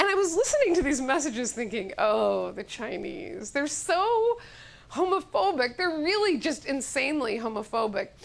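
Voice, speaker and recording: Against noticeable background noise, a woman with a high pitch speaks at a moderate pace, her voice swinging very widely in pitch. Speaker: comedian and monologist. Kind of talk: comedic monologue, stage storytelling. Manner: animated, humorous, conversational.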